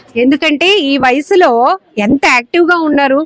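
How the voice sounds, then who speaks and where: The woman's voice is high in pitch with lively intonation. Noticeable background noise runs underneath. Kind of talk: interview host talk. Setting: outdoors. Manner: upbeat.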